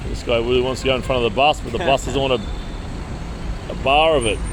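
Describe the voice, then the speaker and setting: With noticeable background noise and audible room echo, a man talks at a fairly quick pace with hardly any pauses. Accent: Australian. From Australia. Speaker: travel vlogger. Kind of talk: casual chat. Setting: outdoors.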